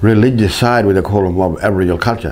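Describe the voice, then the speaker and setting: Noticeable background noise surrounds a man speaking at a fairly low pitch. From Kimberley region, Western Australia. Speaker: Bible translator, musician and storyteller. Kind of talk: personal testimony.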